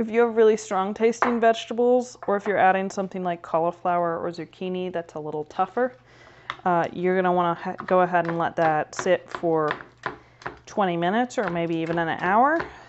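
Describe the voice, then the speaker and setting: Noticeable background noise sits behind a woman's voice. She speaks at a fairly quick pace with ordinary pitch variation. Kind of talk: tutorial. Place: kitchen.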